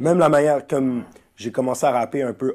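A man is speaking. His pitch shows ordinary variation. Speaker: rapper. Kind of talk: casual chat. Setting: at the host's home.

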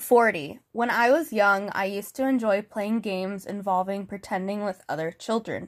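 A woman with an unremarkable speaking voice talks at a moderate pace and medium pitch. She uses ordinary pitch variation and hardly any pauses. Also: very clean recording, silent background. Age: 20s. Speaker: podcast host. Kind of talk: solo podcast monologue.

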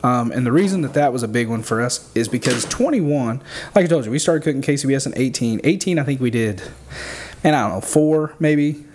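The speaker has an American accent and a fairly quick pace, with ordinary pitch variation. Noticeable background noise is present. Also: man, fairly high pitch for a man. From southern Illinois. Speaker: barbecue pitmaster. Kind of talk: casual chat.

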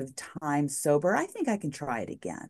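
Her pitch swings very widely. The woman talks with an American accent. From New Mexico, US. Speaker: former TV news journalist, recovery advocate. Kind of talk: interview, personal testimony.

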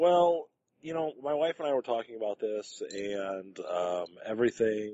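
A man with an American accent. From Detroit, US Midwest. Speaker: podcast co-host. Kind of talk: casual chat.

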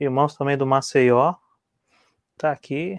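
In a dry, close recording with no echo and a quiet background, a man speaks fairly slowly at a fairly high pitch with fairly even intonation. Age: 30s. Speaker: co-host. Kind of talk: live talk show.

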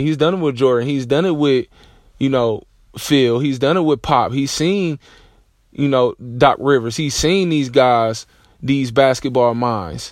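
In a normal speaking voice, a man talks at a fairly slow pace with medium pitch and ordinary pitch variation. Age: 30s. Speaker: podcast host, basketball coach. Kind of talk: solo sports commentary monologue. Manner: casual, filler-heavy.

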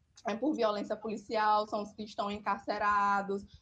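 The tone is bright and sharp, with fairly even intonation. The pace is moderate over a quiet background. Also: woman. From Brazil, interior of Maranhão. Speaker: social sciences student and educator. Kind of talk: casual chat.

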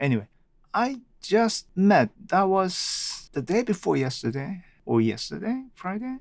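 With a Japanese accent, a man talks in very wide pitch swings. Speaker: podcaster. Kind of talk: solo monologue, unscripted. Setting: home recording with microphone. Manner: halting, with frequent fillers.

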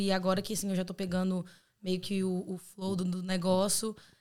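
This woman's voice sits at a medium pitch. She keeps to a moderate pace. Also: very clean recording, silent background. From Brazil, Belo Horizonte (Minas Gerais). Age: 20s. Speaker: exchange student. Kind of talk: casual chat.

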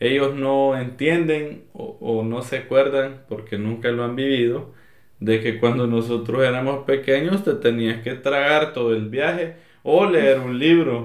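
A man at a medium pitch, ordinary pitch variation and a fairly slow pace, with audible room echo. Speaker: podcast co-host. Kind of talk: casual chat.

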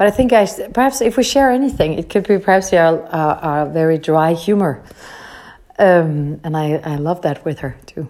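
A woman speaks with a Danish accent. Her voice has a fairly low pitch and a dark, mellow tone. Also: lively intonation, moderate pace. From Denmark, Copenhagen area. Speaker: voice actress. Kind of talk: interview answers. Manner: halting, many repetitions.

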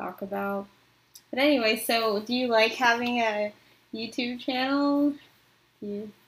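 A soft-spoken woman with an American accent talks at a moderate pace with ordinary pitch variation. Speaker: podcast host interviewer. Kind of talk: casual interview.

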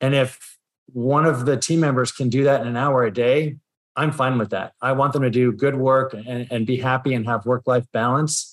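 The intonation is fairly even, in a very clean recording with a silent background. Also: man, medium pitch for a man. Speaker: financial advisor. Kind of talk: interview. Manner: fast.

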